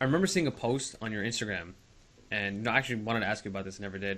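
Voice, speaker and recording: A man's fairly low voice, bright and sharp in tone, at a very fast pace with ordinary pitch variation. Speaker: podcast host. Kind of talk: podcast interview questions.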